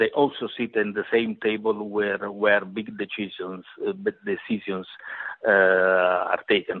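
Speaking with an Italian accent, a man keeps a fairly slow pace. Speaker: journalist. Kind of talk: interview. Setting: phone or video call. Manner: halting.

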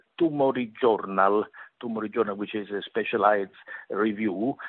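The voice belongs to a man. He speaks with an Italian accent. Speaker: journalist. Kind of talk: interview. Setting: phone or video call. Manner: halting.

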